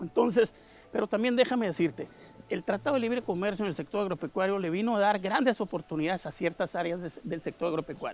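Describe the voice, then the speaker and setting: This man rushes along at a very fast pace, high-pitched, his pitch varying in an ordinary way. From Mexicali, Baja California, Mexico. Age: 60s. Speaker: agronomist. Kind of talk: interview.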